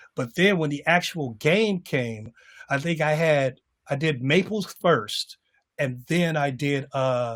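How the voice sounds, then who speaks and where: Lively intonation and a fairly high pitch mark this man's a normal speaking voice. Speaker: stadium public address announcer. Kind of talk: interview answer. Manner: conversational, casual.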